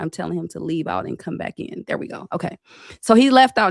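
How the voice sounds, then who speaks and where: This woman's voice sits fairly low in pitch and has an animated tone at a very fast pace. The sound is dry and close, with no echo. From San Francisco Bay Area. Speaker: internet talk show host. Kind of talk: livestream interview. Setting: livestream video call.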